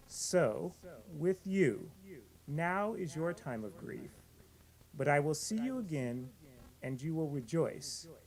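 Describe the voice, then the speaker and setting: Here a man talks at a very slow pace with lively intonation. Long, frequent pauses break up his speech. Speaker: family member giving scripture reading. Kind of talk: funeral scripture reading. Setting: funeral service. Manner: loud, projecting.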